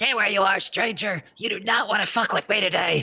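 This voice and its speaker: A raspy, put-on character voice runs at a fairly quick pace. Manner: menacing, gruff, threatening.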